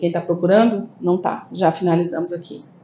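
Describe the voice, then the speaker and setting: Moderately paced speech from a woman amid noticeable background noise and audible room echo. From Brasília, Brazil, northeastern family. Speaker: spiritist lecturer and therapist. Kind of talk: spiritist lecture. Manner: conversational, frequent tag questions.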